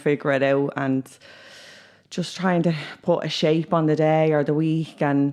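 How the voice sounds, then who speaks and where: This woman speaks in a Dublin accent with a very deep, low pitch. Her intonation is fairly even and her pace is moderate. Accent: Dublin Irish. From Ireland, Dublin (Ballymun). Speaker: youth worker. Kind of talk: casual chat.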